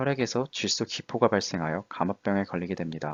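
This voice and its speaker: A man's fairly low voice with lively intonation at a fairly quick pace. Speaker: student diving club lecturer. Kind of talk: lecture. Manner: fast.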